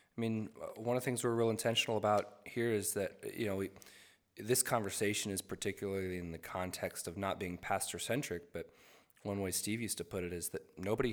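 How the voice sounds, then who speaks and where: Over a silent background on a very clean recording, a man with an unremarkable speaking voice and fairly low pitch talks at a fairly quick pace with fairly even intonation. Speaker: worship leader. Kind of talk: casual chat. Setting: studio.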